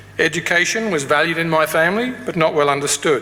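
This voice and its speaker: The speaker talks at a fairly quick pace with an Australian accent. Noticeable background noise is present. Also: man. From Australia, Tasmania. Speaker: graduation speaker, academic. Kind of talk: ceremonial speech. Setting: graduation ceremony hall with audience.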